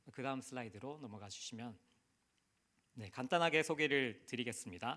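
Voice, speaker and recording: Speaking with a Busan accent, a man at a medium pitch uses lively intonation at a moderate pace in a very clean recording with a silent background. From South Korea, Busan. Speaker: missionary. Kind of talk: sermon.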